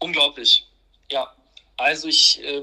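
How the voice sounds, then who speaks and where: A man is speaking. His pace is very slow. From Hannover, northern Germany. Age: 20s. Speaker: finance expert and entrepreneur. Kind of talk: interview.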